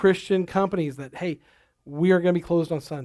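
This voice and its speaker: In a very clean recording with a silent background, a man talks at a fairly quick pace with a high pitch and ordinary pitch variation. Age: 40s. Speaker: pastor. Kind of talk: sermon. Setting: church.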